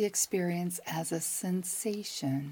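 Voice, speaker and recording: A woman speaks very slowly in a fairly low, somewhat breathy voice with a dark, mellow tone and ordinary pitch variation. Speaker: psychic advisor and meditation guide. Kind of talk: guided meditation. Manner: slow, calm, soothing, with long pauses; gentle, warm, reassuring.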